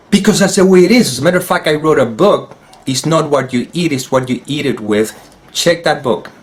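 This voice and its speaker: Noticeable background noise sits behind a man with a Spanish accent. He speaks at a moderate pace with a fairly high pitch and lively intonation. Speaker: spiritual teacher. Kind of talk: solo talk video. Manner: halting.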